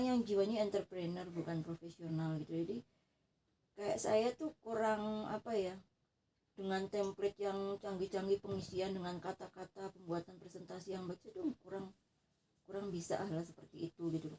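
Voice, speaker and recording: A moderate pace with ordinary pitch variation. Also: woman. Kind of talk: casual private conversation. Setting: dark bedroom, informal home recording.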